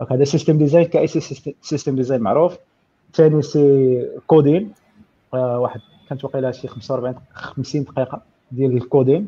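A man with a dark, mellow tone speaks at a moderate pace, somewhat breathy. His pitch is fairly high for a man, with ordinary variation. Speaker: software engineer. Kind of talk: casual tech Q&A.

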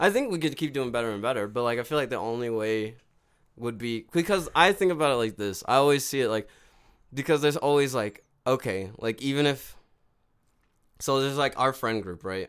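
A man with an unremarkable speaking voice talks at a fairly quick pace with lively intonation and a medium pitch. The recording is very clean with a silent background. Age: 20s. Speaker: podcast co-host. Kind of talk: casual chat.

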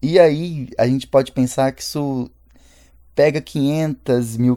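With a dark, mellow tone, a man speaks very slowly and with fairly even intonation. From Brazil, Belo Horizonte. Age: 20s. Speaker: artist and cultural producer. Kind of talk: radio interview. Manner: halting, with repeated words.

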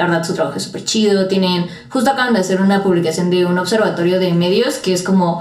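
Against noticeable background noise and audible room echo, a woman speaks in a Mexican accent at a medium pitch. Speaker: podcast host. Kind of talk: casual chat.

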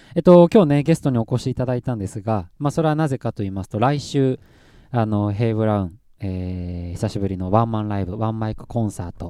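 On a very clean recording with a silent background, a man with a medium pitch and a dark, mellow tone talks at a very fast pace with lively intonation. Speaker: band vocalist and podcast host. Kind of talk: casual chat.

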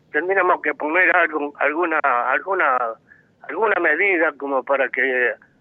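A man with an ordinary speaking voice talks in a fairly high pitch with lively intonation. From Argentina, Buenos Aires area. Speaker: radio caller. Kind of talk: call-in opinion. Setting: phone call.

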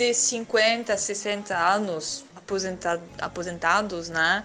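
A woman with a French accent speaks at a very slow pace with ordinary pitch variation over noticeable background noise. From France. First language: French (speaking Portuguese). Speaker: language school owner and teacher. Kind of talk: interview. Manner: halting.

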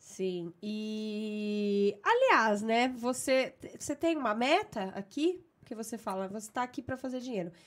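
In a Brazilian accent, a woman speaks at a fairly slow pace with hardly any pauses, a fairly high pitch and ordinary pitch variation. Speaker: podcast host. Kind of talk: casual chat.

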